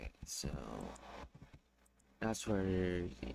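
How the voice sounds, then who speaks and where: A man's very deep, low voice swings very widely in pitch. He speaks at a very slow pace, with vocal fry. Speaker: streamer. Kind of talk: casual livestream chat while drawing.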